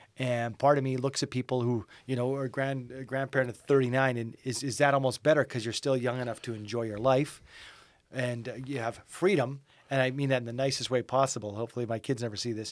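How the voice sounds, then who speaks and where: In a Canadian accent, a man speaks at a medium pitch with monotone, flat intonation. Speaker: radio morning show host. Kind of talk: casual chat.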